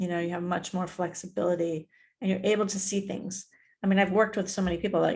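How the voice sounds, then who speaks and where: A woman speaks at a very fast pace in a somewhat breathy voice of medium pitch. Her intonation is monotone and flat. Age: 60s. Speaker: mindset mentor and author. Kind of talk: interview. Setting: live stream. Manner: casual.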